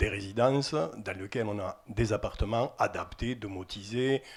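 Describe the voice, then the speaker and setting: A man with a southwestern French accent talks at a very slow pace and medium pitch. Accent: southwest French. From southwest France, Albi. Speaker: housing company executive. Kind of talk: interview.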